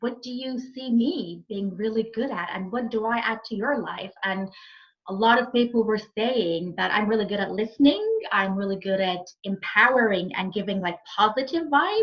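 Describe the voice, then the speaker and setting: Using a normal speaking voice, a woman talks at a fairly high pitch and moderate pace with ordinary pitch variation. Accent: American. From Egypt, raised also in France and Saudi Arabia. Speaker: happiness and fulfilment coach. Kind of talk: podcast interview.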